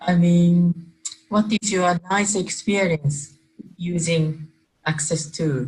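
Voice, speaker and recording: In a Japanese accent, a woman speaks at a very slow pace with a fairly low pitch and very even loudness. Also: fairly even intonation. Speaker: energy work facilitator. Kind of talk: casual chat. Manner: halting, non-native phrasing.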